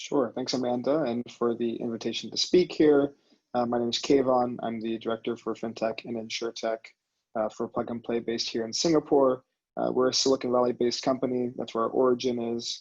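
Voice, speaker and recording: The speaker talks fairly quickly in a flat monotone with an American accent. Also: man, medium pitch for a man. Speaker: venture capital director. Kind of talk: panel discussion.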